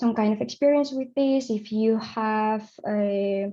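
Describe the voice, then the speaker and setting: Speaking with a Spanish accent, a woman has a fairly high pitch, a dark, mellow tone, a somewhat breathy quality and fairly even intonation. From Spain. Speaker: audiovisual translator. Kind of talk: conference presentation. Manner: halting, many fillers.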